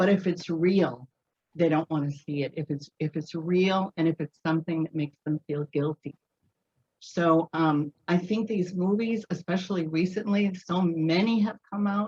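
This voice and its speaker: A woman speaks at a moderate pace with a fairly low, somewhat breathy voice and ordinary pitch variation. The sound is dry and close, with no echo. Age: 70s. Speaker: audience participant. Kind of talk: casual discussion.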